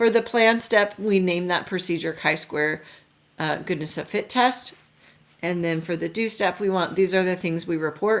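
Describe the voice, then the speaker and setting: At a moderate pace, a woman talks in a fairly low voice with ordinary pitch variation. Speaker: high school statistics teacher. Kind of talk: recorded lecture. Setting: recorded video lesson. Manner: halting, self-correcting.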